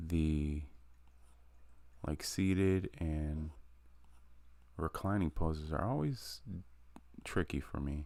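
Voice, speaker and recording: A quiet, very slow delivery with long, frequent pauses, on a very clean recording with a silent background. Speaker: artist live-streaming drawing practice. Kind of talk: casual live stream commentary. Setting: live stream. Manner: quiet while concentrating; halting, many fillers.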